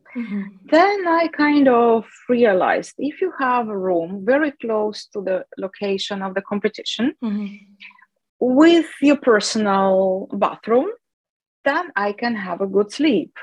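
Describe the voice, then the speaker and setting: A woman with a Russian accent speaks at a fairly slow pace and a fairly high pitch, with very wide pitch swings. The sound is dry and close, with no echo. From Russia, Chelyabinsk (South Ural). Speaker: classical guitarist. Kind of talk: interview. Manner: halting, many fillers.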